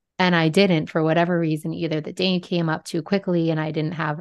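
The speech moves at a fairly quick pace in a flat monotone against a quiet background. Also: woman. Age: 30s. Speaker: Reiki healer and spiritual coach. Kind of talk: casual chat.

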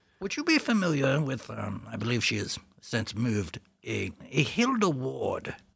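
Putting on a character voice, a man speaks at medium pitch with very wide pitch swings, a fairly bright tone, a slightly husky edge, vocal fry and a fairly slow pace.

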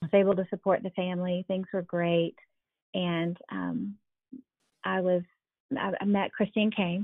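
This woman has a normal speaking voice at a medium pitch, with fairly even intonation and a moderate pace. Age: 40s. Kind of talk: interview.

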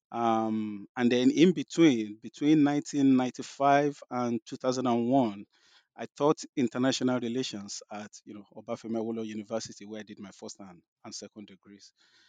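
A man's dark, mellow voice with a Nigerian accent, medium pitch and ordinary pitch variation, fairly quick and with big swings in loudness, in a dry, close sound with no echo and a quiet background. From Nigeria, southwest (Yoruba). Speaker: professor. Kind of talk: interview about his book. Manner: hesitant, many fillers and repetitions.

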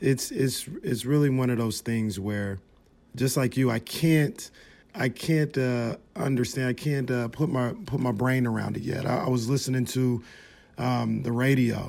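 This is a normal speaking voice from a man at medium pitch. He goes at a fairly slow pace with ordinary pitch variation. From Sacramento, California. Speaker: sports podcast host. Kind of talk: casual chat.

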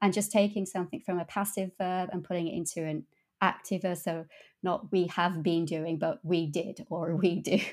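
The speaker has an English accent and fairly even intonation at a moderate pace. The recording is very clean with a silent background. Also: woman, fairly low pitch for a woman. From England. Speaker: translator. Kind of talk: interview.

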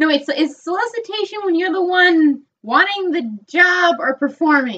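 Raising and projecting her extremely high voice, a woman with an American accent talks with lively intonation and hardly any pauses. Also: moderate pace. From upstate New York. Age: 20s. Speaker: podcast co-host. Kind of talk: casual chat.

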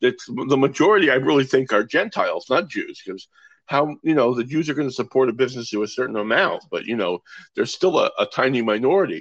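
With an American accent, a man talks at a very fast pace. His intonation is lively. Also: fairly high pitch for a man. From US West Coast, Los Angeles. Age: 60s. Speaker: magician. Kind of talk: casual chat.

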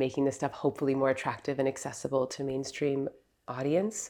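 A woman's very deep, low voice at a fairly quick pace, against a quiet background. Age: 40s. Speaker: meditation teacher and podcast host. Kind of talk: casual conversation.

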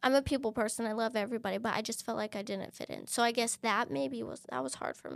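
A woman's fairly high voice in an American accent, very fast with hardly any pauses, lively intonation and vocal fry, on a very clean recording with a silent background. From Texas, El Paso. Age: 30s. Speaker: interviewee sharing personal story. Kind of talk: personal testimony interview.

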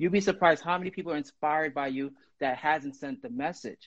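Speaking very fast, a man with an American accent uses a fairly high pitch. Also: dry, close sound with no echo. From Brooklyn, New York. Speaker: guest writer and poet. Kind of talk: casual chat. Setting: Instagram live video.

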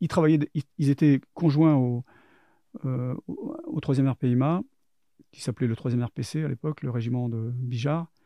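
This man talks with fairly even intonation. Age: 50s. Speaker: former intelligence agent and soldier. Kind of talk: testimony. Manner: halting.

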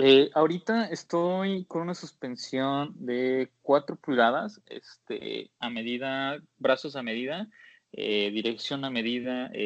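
Lively intonation marks this man's fairly high voice. He speaks at a very slow pace. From Mexico, Jalisco (Guadalajara). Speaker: off-road Jeep enthusiast. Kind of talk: casual interview. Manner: hesitant, many fillers.

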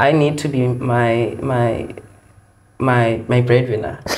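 There is audible room echo as a man speaks. Noticeable background noise runs underneath. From South Africa, Eastern Cape. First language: Xhosa. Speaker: occupational therapy student. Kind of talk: interview.

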